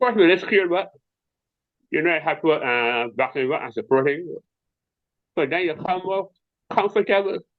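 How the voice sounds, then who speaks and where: With a Barbadian accent, a man speaks at a moderate pace in a high voice, his lively intonation broken by long, frequent pauses. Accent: Bajan (Barbadian) dialect. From Barbados. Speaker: visually impaired tai chi athlete. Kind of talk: interview answer.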